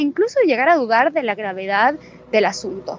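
A woman talks at a fairly quick pace, and there is noticeable background noise. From Bolivia. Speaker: political scientist. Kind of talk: interview.

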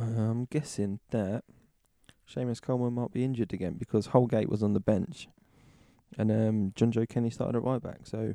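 This man speaks with a British accent at medium pitch in a dark, mellow tone. The sound is dry and close, with no echo. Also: moderate pace. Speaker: football podcast host. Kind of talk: casual banter. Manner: chatty, joking.

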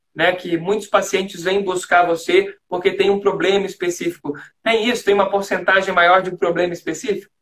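A man with a slight Florianópolis accent speaks at a fairly quick pace in a high pitch with monotone, flat intonation. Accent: slight manezinho (Florianópolis). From Greater Florianópolis, Santa Catarina, Brazil. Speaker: communication coach and live stream host. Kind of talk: interview. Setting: Instagram live video call.

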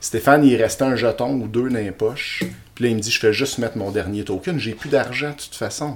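A man with a Quebec accent talks at a fairly quick pace and medium pitch, his loudness swinging widely over noticeable background noise. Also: ordinary pitch variation. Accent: Québécois French. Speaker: podcast co-host. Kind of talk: casual chat.

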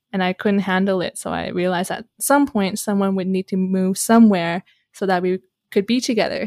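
An unremarkable speaking voice moves at a fairly quick pace with fairly even intonation, recorded in a dry, close sound with no echo. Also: woman, medium pitch for a woman, very clean recording, silent background. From Canada. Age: 20s. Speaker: relationship coach. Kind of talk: casual chat.

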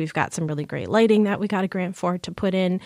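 On a very clean recording with a silent background, a woman talks at a very fast pace, medium in pitch and fairly even in intonation. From lower Michigan. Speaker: movie theater manager. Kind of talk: casual interview chat.

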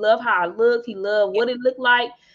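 A woman with an ordinary speaking voice, fairly high pitch, and a fairly quick pace. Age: 30s. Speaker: podcast host. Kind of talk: casual chat.

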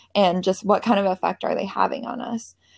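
This speaker has a Pacific Northwest accent and talks at a moderate pace with fairly even intonation. The sound is dry and close with no echo, in a very clean recording over a silent background. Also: woman. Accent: General American (Pacific Northwest). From US Pacific Northwest, Seattle area. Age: 20s. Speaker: podcaster and educator. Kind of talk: casual interview.

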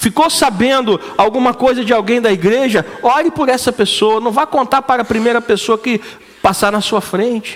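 A man speaks with a Brazilian accent at an extremely high pitch. His pace is moderate, and background noise is noticeable. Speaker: preacher. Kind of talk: sermon; sermon to a live congregation, call-and-response. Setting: church. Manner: animated, rhetorical questions, colloquial and punchy.

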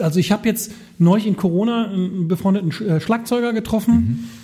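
This man has a high pitch and a dark, mellow tone. His pitch variation is ordinary. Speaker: podcast co-host and former DJ. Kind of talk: casual chat. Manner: halting, many fillers.

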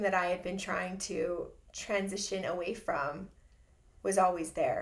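An American accent marks this woman's fairly slow speech. Audible room echo can be heard. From Southern California. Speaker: church member and navy veteran. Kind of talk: testimony.

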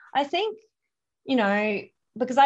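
An Australian accent is heard here. The voice belongs to a woman. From Australia, Adelaide. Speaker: canine massage and holistic pet health practitioner. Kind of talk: interview.

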